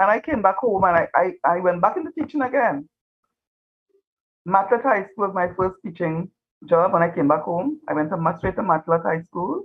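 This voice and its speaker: A woman in a Trinidadian accent speaks at a medium pitch and moderate pace with lively intonation. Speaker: retired teacher. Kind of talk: interview.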